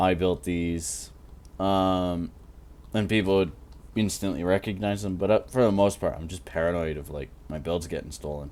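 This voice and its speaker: At a moderate pace, a man with an American accent and a very deep, low pitch speaks with ordinary pitch variation and big swings in loudness. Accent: American-sounding. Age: 20s. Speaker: gaming YouTuber. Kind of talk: casual commentary while gaming. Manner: rambling, halting.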